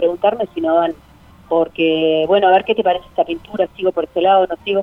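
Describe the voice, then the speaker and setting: A woman speaks at a very fast pace. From Uruguay, Cerro Largo (rural northeast). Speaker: art gallery owner. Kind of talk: interview. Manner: halting.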